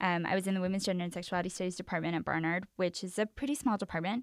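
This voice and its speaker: In a very clean recording with a silent background and a dry, close sound with no echo, a woman with a plain, everyday voice and an American accent speaks at medium pitch with fairly even intonation. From East Los Angeles. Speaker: recent college graduate and scholar. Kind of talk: interview. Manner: casual, filler-heavy.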